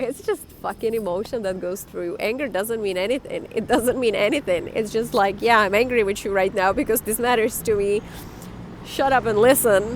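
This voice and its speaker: A woman with a non-native accent, fairly high in pitch with ordinary variation, at a moderate pace amid noticeable background noise. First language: not English. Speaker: life coach vlogger. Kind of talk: casual monologue. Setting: outdoors.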